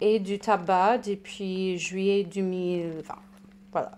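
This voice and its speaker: Recorded very cleanly against total silence, a woman talks with an American accent. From United States. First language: English (speaking French). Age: 30s. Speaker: recovered alcoholic, patient expert. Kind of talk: testimony. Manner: halting.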